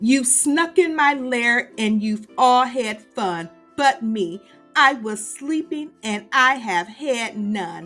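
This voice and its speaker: Over faint music in the background, a woman growls in a high-pitched put-on character voice at a very slow pace. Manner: growling, grumbling.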